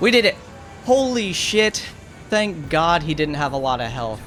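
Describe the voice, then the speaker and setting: Music plays in the background as a man talks at a fairly slow pace in a high voice. His tone is animated, with very wide pitch swings. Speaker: gaming YouTuber. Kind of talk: gameplay commentary with narration.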